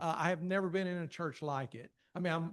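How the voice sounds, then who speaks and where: A man with a strong Appalachian accent speaks at a high pitch with ordinary pitch variation. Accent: strong rural Appalachian. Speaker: church communications director. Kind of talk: casual thank-you remarks to a class.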